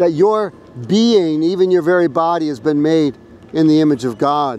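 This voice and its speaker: At a moderate pace, the voice shows ordinary pitch variation in a dry sound with no echo. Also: man. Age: 60s. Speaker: street preacher. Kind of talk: street preaching, open-air sermon. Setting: outdoors on a college campus. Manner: loud, earnest, exhortative; direct, confident, pleading. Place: street.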